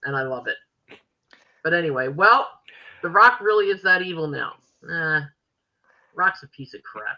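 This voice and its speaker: The pace is moderate. Long pauses come frequently. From Philadelphia.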